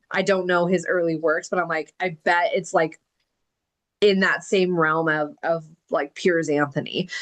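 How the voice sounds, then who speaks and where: A woman speaks in an ordinary speaking voice. Her pitch is medium and her pace moderate. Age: 30s. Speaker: book club host and author. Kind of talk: interview. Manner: casual, filler-heavy.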